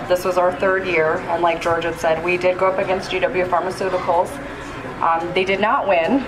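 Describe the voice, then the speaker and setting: A woman speaks at a moderate pace with a medium pitch. Noticeable background noise and audible room echo fill the recording. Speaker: cannabis policy advocate. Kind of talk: convention speech. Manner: soft-spoken.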